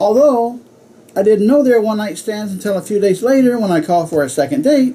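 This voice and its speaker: Over noticeable background noise, a man with an American accent talks at high pitch with lively intonation. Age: 60s. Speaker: club speaker. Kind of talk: humorous speech.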